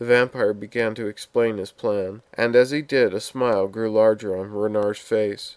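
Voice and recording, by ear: A speaker is heard reading aloud, using a natural voice.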